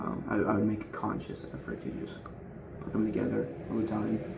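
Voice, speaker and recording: Soft-spoken and fairly low-pitched, a man talks at a moderate pace with long, frequent pauses, amid audible room echo and noticeable background noise. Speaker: streamer. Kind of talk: casual chat. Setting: home, quiet because of thin walls.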